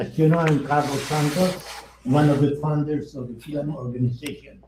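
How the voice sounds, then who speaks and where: A man speaks at a fairly high pitch and moderate pace. His intonation is fairly even, with audible room echo. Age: 90s. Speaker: organization founder, keynote speaker. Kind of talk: keynote speech at awards ceremony. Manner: halting, self-correcting.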